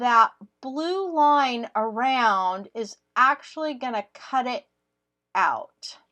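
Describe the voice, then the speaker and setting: A woman with a high pitch and a bright, sharp tone speaks at a very slow pace with lively intonation. The sound is dry and close, with no echo. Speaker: crafting YouTuber. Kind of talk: tutorial. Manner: casual, with fillers.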